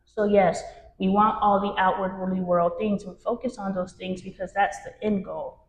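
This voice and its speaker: A woman's somewhat breathy voice at medium pitch, with a moderate pace and fairly even intonation. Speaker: spiritual workshop leader. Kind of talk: workshop talk to a group. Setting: room with live audience.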